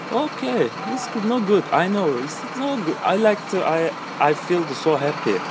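A high-pitched man with a Turkish accent at a fairly slow pace, very wide pitch swings, audible room echo and noticeable background noise. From Turkey, Istanbul. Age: 20s. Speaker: cafe server. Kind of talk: casual interview. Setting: outdoors at a busy cafe. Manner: halting.

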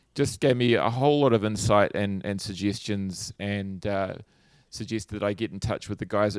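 A man in a New Zealand accent, at a fairly low pitch and a moderate pace with ordinary pitch variation, on a very clean, dry, close recording with a silent background and no echo. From New Zealand, Hawke's Bay. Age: 40s. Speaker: guitar pedal company founder. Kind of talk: casual interview.

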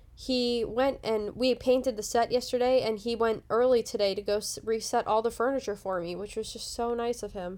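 In a very clean recording with a silent background, a woman speaks at a moderate pace in a normal speaking voice, with a fairly high pitch and fairly even intonation. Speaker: podcast host. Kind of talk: casual chat, show recap.

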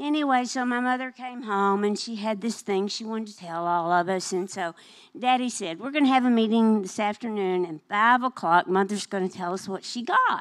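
Delivered with a Southern US accent and hardly any pauses, the speech shows big swings in loudness in a very clean recording with a silent background. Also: woman, fairly high pitch for a woman, ordinary pitch variation, moderate pace. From Arkansas, near Little Rock. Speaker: minister's wife sharing testimony. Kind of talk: testimony. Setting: church service.

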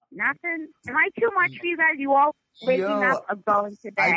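This woman has a Boston accent and a high pitch, moving at a moderate pace. Her pitch swings very widely. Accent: thick Boston. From North Shore near Boston. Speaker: podcast guest.

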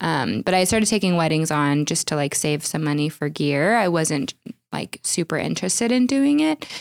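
Recorded very cleanly, dry and close with no echo and a silent background, a woman with an American accent and a normal speaking voice speaks at a moderate pace, her pitch fairly low and her intonation lively. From Oklahoma. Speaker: wedding videographer. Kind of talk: casual interview.

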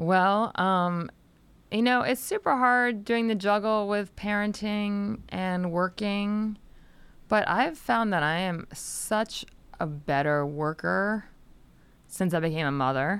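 With an American accent and lively intonation, a woman at a medium pitch speaks at a very slow pace on a very clean recording with a silent background. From Delaware, US. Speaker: antitrust attorney and journalist. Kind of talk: podcast interview.

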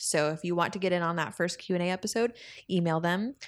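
A woman speaks in a plain, everyday voice at a fairly low pitch, with ordinary pitch variation, on a very clean recording with a silent background. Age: 20s. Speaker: podcast host. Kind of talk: casual chat. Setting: home studio.

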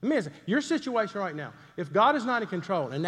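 A man with a Southern US accent talks at a very fast pace and a high pitch, his voice making very wide pitch swings. Audible room echo surrounds his speech. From US South, Greenville, South Carolina. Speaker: pastor. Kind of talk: sermon.

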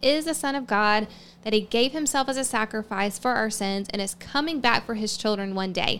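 A woman's fairly high, ordinary speaking voice at a moderate pace with ordinary pitch variation. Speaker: podcast host. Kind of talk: religious podcast teaching, casual.

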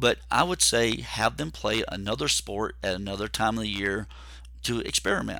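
Vocal fry marks a man's fairly low-pitched voice as he speaks at a moderate pace. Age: 50s. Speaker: podcast host and endurance coach. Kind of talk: solo podcast monologue. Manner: halting with fillers.

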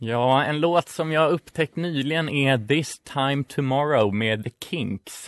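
Very slow pace with hardly any pauses from a man at a fairly high pitch, in a dry, close sound with no echo against a quiet background. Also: ordinary pitch variation. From Stockholm, Sweden (inner city). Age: 20s. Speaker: student radio co-host. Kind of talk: casual radio chat.

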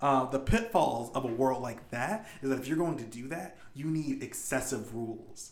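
This man has an ordinary speaking voice at medium pitch. He speaks at a moderate pace. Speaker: game master and podcast host. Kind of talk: casual podcast discussion.

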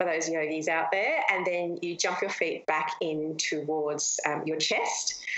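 A woman speaks at a moderate pace with an Australian accent, her pitch fairly low. Noticeable background noise and audible room echo surround her voice. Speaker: fitness coach and online course creator. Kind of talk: interview.

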